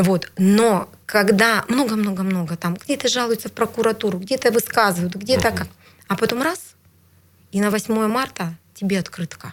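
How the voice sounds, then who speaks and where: With an unremarkable speaking voice, a woman talks at a medium pitch and a moderate pace, her pitch varying in an ordinary way. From Siberia, Bratsk (Irkutsk region). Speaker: regional legislator. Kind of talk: interview. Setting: studio.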